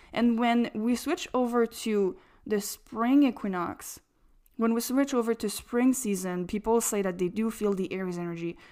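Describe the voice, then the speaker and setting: In a French accent, a woman with a dark, mellow tone and fairly high pitch speaks at a moderate pace with ordinary pitch variation on a very clean recording with a silent background. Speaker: astrologer podcaster. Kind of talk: monologue podcast talk.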